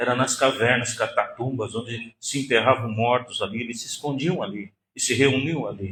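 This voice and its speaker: The man's pitch sits in the middle range with ordinary variation. He speaks at a fairly slow pace. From Northeast Brazil. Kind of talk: lecture. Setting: synagogue hall with audience.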